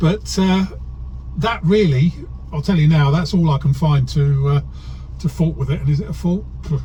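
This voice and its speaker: A man at a moderate pace with long, frequent pauses, amid noticeable background noise. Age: 60s. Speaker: car dealer. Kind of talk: car review while driving. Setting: in a car. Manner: cheerful, laughing.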